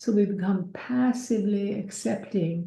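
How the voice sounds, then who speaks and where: A woman speaks at a medium pitch with a somewhat breathy quality. Her tone is dark and mellow. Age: 70s. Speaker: speaker, founder of a nonprofit. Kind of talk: webinar talk.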